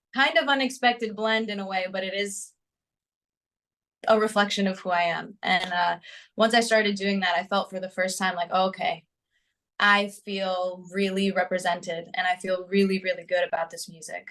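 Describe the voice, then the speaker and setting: A woman with a New Jersey accent speaks with fairly even intonation. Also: medium pitch for a woman, moderate pace. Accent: American (New Jersey). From US, New Jersey. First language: Greek. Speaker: singer-songwriter. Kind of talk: interview.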